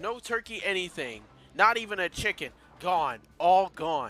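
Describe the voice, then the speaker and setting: Raising and projecting his voice, a man speaks at a fairly slow pace with lively intonation. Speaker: gaming YouTuber. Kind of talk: let's play commentary. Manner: animated; stuttering, repetitive.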